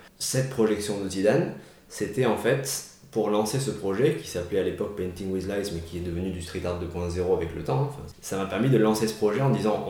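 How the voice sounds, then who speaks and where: A fairly low male voice at a fairly quick pace with ordinary pitch variation, noticeable background noise and audible room echo. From Marseille, southern France. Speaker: photographer and street artist. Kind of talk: interview. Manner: hesitant with fillers.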